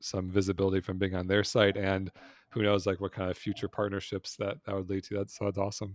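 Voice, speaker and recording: Fairly low in pitch, a man with an unremarkable speaking voice talks at a fairly quick pace, the sound dry and close with no echo, in a very clean recording with a silent background. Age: 40s. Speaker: investor and entrepreneur. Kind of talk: interview.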